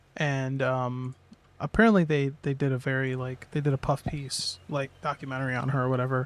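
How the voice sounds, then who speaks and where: Mumbling from a man at a moderate pace, fairly high in pitch, with a dry, close sound and no echo. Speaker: video game streamer. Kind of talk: casual livestream chat. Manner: halting.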